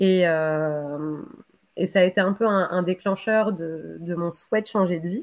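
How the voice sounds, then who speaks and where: Her pitch medium, a woman talks with ordinary pitch variation. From Bordeaux, Gironde, France. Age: 30s. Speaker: interviewee. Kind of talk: interview. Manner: hesitant, many fillers and repetitions.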